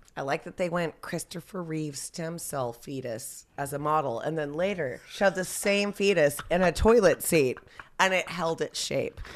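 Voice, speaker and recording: A woman with a normal speaking voice, fairly low in pitch, at a moderate pace. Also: ordinary pitch variation. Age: 40s. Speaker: podcast guest. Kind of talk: casual chat.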